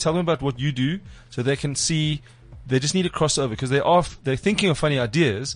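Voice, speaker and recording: A man talks at a very fast pace. His voice is fairly high and somewhat breathy. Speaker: comedy podcast host. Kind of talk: casual chat. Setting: studio.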